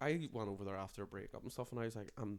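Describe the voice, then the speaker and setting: A man with an Irish accent at a very fast pace. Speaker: comedian. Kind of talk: casual chat. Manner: animated.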